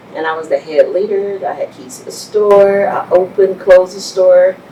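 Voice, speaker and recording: With a Texan accent, a woman speaks at a medium pitch with ordinary pitch variation against noticeable background noise. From Texas Panhandle (Amarillo). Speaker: business owner. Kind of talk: interview.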